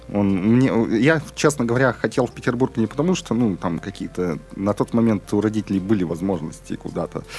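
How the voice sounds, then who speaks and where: This man has a plain, everyday voice with a fairly low pitch. He talks at a fairly quick pace with lively intonation. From Urals, Russia. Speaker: podcast host. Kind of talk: casual chat. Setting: studio.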